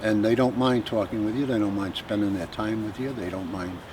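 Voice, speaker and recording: A man's fairly low voice over noticeable background noise. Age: 60s. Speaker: drive-in regular. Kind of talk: interview.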